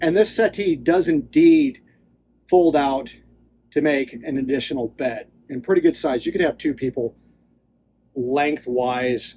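Long, frequent pauses break up a man's fairly slow speech. His tone is dark and mellow, with ordinary pitch variation. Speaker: boat tour guide. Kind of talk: tour walkthrough commentary. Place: boat. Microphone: phone near.

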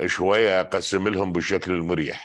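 Against a quiet background, a man with an Iraqi accent speaks at a fairly slow pace in a very deep, low voice. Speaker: political commentator. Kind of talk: political commentary monologue.

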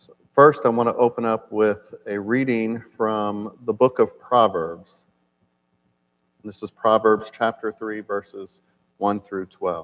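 A man speaks at a very slow pace. His pitch is fairly low, with fairly even intonation. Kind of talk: lecture. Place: church. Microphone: lapel.

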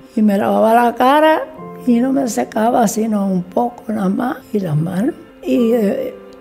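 A woman at a very slow pace with ordinary pitch variation, faint music in the background. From Canary Islands, Tenerife. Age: 80s+. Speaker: baker. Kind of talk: interview answer. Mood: warm, reminiscing. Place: shop.

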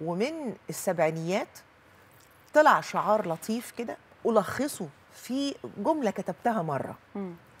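Very slowly and with long, frequent pauses, a woman speaks in a somewhat breathy voice, with very wide pitch swings and big swings in loudness. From Egypt. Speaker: journalist and writer; journalist. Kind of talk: studio interview. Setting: studio. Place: studio.

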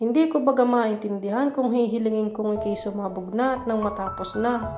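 A woman with a Batangas accent speaks at a moderate pace and a fairly high pitch, her pitch varying in an ordinary way, with music in the background. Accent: Batangueño Tagalog. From Batangas, Philippines. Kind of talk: spoken word poetry. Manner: pleading, emotional.

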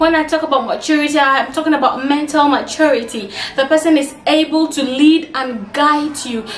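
A woman speaks in a high pitch with hardly any pauses, audible room echo, and light background noise. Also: moderate pace. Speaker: advice vlogger. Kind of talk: casual vlog chat. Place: home room.

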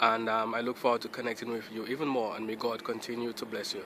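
Bright and sharp in tone, a man's voice sits at a medium pitch. He speaks fast.

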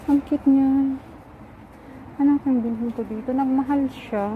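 Over noticeable background noise, a woman talks at a fairly slow pace in a high pitch. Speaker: vlogger. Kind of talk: casual vlog while shopping. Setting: outdoors at plant shop. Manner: animated.

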